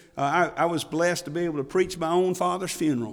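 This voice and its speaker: With audible room echo around him, a man speaks fairly quickly at a fairly high pitch, using ordinary pitch variation. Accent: Alabama. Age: 50s. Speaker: pastor. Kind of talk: heartfelt Baptist sermon, personal funeral testimony building to a triumphant hallelujah. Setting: church pulpit. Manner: impassioned, rising preacher cadence with emphatic exclamations; halting with repeated word starts and filler uh.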